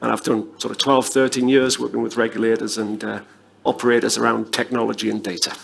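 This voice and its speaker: A man rattles along at a very fast pace, with noticeable noise in the background. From northern England. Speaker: panelist, tech company executive. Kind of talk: conference panel discussion.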